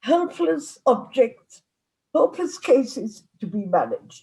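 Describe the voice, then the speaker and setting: A woman speaks at a very slow pace with a non-native accent. Her voice is high-pitched, with a dark, mellow tone. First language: not English. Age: 90s. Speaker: psychotherapist. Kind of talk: lecture. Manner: halting.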